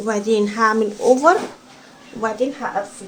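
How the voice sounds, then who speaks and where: Noticeable background noise and audible room echo surround a woman's fairly high voice. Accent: Egyptian. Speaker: sewing instructor. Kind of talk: tutorial. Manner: soft-spoken.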